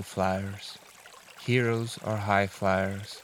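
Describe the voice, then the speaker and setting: Monotone, flat intonation and a calm, soothing tone over noticeable background noise. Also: man. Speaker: reader of relaxation videos. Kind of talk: reading aloud.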